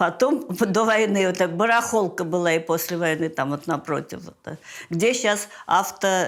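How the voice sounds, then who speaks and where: A woman speaks at a very slow pace. Her pitch is fairly low, and her intonation is lively. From Leningrad. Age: 80s+. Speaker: siege survivor; retired acrobat and coach. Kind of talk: interview answer.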